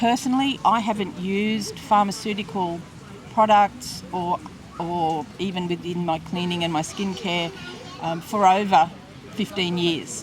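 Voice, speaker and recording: A woman with an Australian accent speaks at a fairly slow pace with ordinary pitch variation, amid audible room echo and noticeable background noise. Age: 60s. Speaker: interviewee, former hospitality worker. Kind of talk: interview testimony. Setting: outdoor market. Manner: hesitant, with fillers and repetitions.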